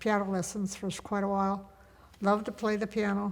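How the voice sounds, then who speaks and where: A woman with a Midwestern American accent speaks at a medium pitch. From US Midwest, Indiana. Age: 80s+. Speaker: grandmother interviewee. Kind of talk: casual chat. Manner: halting.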